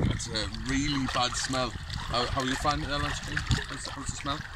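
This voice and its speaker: Recorded with a dry sound and no echo, a man talks at a moderate pace over loud background noise. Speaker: vlogger. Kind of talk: casual vlog. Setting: outdoors by a lake. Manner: casual, rambling. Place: forest.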